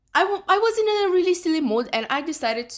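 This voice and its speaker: A woman speaks with a Romanian accent. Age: 20s. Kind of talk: casual talk to camera. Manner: hesitant, many fillers.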